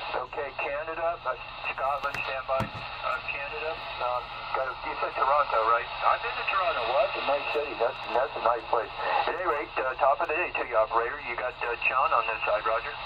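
The talking moves at a fairly quick pace. Loud background noise runs underneath it. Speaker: distant CB radio operator. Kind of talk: radio contact chat. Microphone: two way radio.

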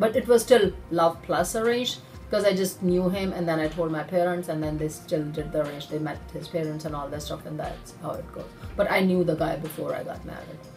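Clear music plays behind a woman with a fairly low voice and ordinary pitch variation. She talks at a fairly quick pace with big swings in loudness. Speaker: interviewee. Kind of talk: interview answer. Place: office. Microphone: phone near.

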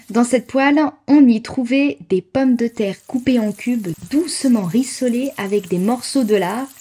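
In a Savoyard accent, a woman with a high pitch and a dark, mellow tone speaks at a fairly slow pace. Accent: regional Savoyard French. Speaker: food blogger and content creator. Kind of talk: podcast-style narration on history and recipe.

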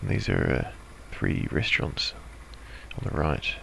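A man talks fairly quickly in a dry sound with no echo, though noticeable background noise is present. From New Zealand. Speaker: motorcycle vlogger. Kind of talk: motovlog voice-over. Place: home room.

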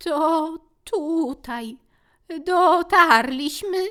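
On a very clean recording with a silent background, a woman puts on a character voice that is shaky, extremely high, raised and projected, with ordinary pitch variation. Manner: trembling, frightened.

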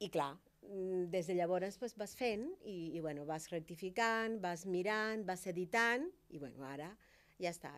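With a Spanish accent, a woman is talking. She keeps to a fairly slow pace. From Cuba. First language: Spanish (speaking Catalan). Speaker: doctor and writer; guest. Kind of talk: talk show interview. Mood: warm, animated. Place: studio. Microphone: studio mic.

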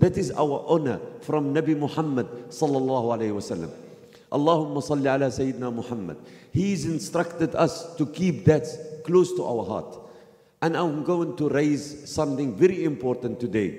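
A man with an Arabic accent talks at a fairly high pitch and moderate pace, with ordinary pitch variation. Audible room echo surrounds the voice. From Palestine. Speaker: activist. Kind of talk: speech. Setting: mosque. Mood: earnest, impassioned. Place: church.

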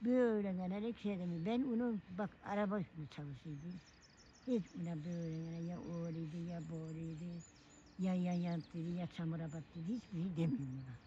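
Somewhat breathy and dark, mellow in tone, a woman's voice sits at a fairly low pitch with ordinary pitch variation. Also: moderate pace. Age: 80s+. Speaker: elderly villager. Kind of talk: casual chat. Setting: outdoors.

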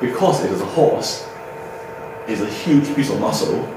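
The speech moves at a moderate pace, with audible room echo and noticeable background noise. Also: man. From Chinese background. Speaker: veterinarian; presenter. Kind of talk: lecture. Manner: halting. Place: hall. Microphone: camera far.

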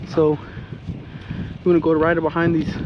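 Over faint background noise, a man speaks at a moderate pace. His fairly high pitch holds a monotone, flat intonation.

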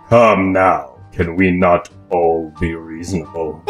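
Faint music plays behind a man doing a put-on character voice at a very deep, low pitch. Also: fairly slow pace, fairly even intonation. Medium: fan dub. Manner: calm, smooth, condescending.

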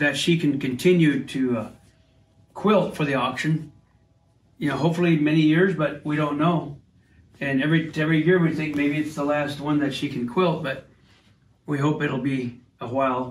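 The delivery moves at a moderate pace, somewhat breathy, with fairly even intonation. Long, frequent pauses break it up, and audible room echo is present. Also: man. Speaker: family member showing his mother's quilting. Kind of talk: casual talk to camera. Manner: warm, fond. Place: home room. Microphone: phone near.

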